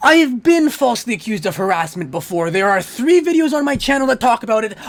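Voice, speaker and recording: Speaking at a very fast pace, a man uses an extremely high pitch with very wide pitch swings. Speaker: YouTuber ranting on dating topics. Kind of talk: rant. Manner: fast, jittery; stuttering.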